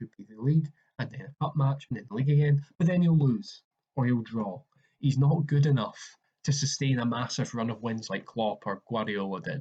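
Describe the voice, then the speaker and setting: A somewhat breathy, dark, mellow voice at a fairly quick pace, with a Scottish accent. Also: man, big swings in loudness. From Scotland. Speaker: football podcaster. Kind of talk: casual solo commentary. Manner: halting with fillers.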